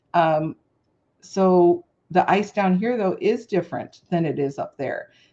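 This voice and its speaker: Against a quiet background, a dark, mellow voice moves at a fairly slow pace with ordinary pitch variation. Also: woman, medium pitch for a woman. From Chicago, US Midwest. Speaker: craft livestream host. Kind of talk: casual chat.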